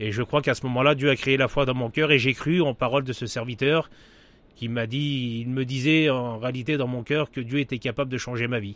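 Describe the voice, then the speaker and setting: A man's voice sits at medium pitch. He moves along at a fairly quick pace. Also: fairly even intonation. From French Traveller community, northern France / Paris region. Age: 40s. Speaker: pastor. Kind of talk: testimony. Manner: halting.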